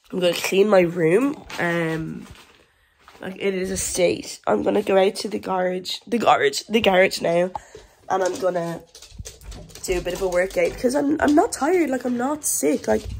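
With an Irish accent, a woman speaks at a moderate pace in a medium pitch, her intonation lively. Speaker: vlogger. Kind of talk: casual vlog. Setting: at home. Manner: hesitant, many fillers.

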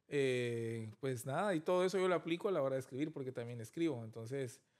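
Against a quiet background, a man speaks at a fairly quick pace. His pitch sits fairly high. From Guatemala, Guatemala City; Guatemala. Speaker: film director; interview guest. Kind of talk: interview. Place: studio. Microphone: studio mic.

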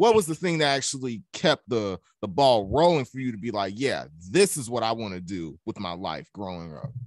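Over a quiet background, a man with a Southern US accent speaks with very wide pitch swings, the sound dry with no echo. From US South. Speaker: student podcast host. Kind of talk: interview. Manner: casual, upbeat. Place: home room. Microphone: studio mic.

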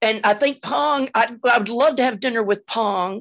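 Fairly high in pitch with lively intonation, a woman speaks in a plain, everyday voice against a quiet background. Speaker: cellist. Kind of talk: casual chat. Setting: video call. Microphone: video call.

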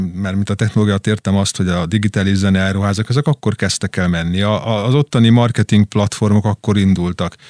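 Talking at a very fast pace, a man with a fairly low pitch sounds dry and close with no echo, on a very clean recording with a silent background. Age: middle-aged. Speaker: drummer and record label owner. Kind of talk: interview. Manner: halting.

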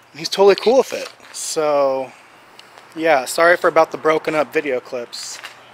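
Delivered at a moderate pace with ordinary pitch variation, the voice sounds dry with no echo. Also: man. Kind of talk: casual vlog chat. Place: factory. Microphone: phone near.

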